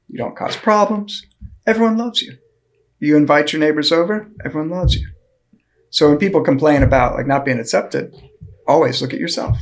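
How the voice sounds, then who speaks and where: Lively intonation in an American accent, very fast pace yet long, frequent pauses. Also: man, fairly high pitch for a man. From Florida, US. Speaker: economics professor. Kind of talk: casual chat.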